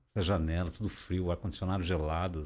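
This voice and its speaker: A fairly quick pace from a man with a very deep, low voice. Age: 60s. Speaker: overland traveler; podcast guest. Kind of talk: interview. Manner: conversational, filler-heavy. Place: studio. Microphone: studio mic.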